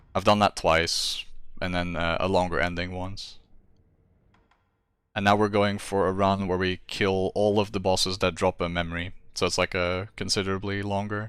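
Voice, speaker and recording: The voice is monotone and flat at a moderate pace, in a very clean recording with a silent background. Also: man, very deep, low pitch for a man. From Netherlands. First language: Dutch. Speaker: video game streamer. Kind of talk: casual live-stream chat while gaming. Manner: casual, with frequent fillers and restarts.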